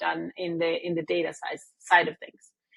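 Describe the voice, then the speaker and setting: A woman speaks in a Spanish accent at a moderate pace. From Mexico. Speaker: business executive. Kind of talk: interview. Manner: hesitant, many fillers and repeats.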